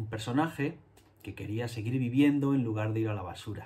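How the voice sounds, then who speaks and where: A man speaks at a medium pitch with ordinary pitch variation. His tone is dark and mellow, and somewhat breathy. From Spain, Andalusia (Jerez); Andalusia, Spain. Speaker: illustrator and children's book author. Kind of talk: talk to schoolchildren. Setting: home studio. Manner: halting, many fillers. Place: home room.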